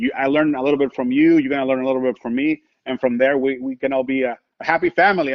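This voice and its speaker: A man with a Spanish accent speaks at a very fast pace. His pitch is fairly high. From Mexico, Tijuana. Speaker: sports radio broadcaster. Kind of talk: casual chat. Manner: animated.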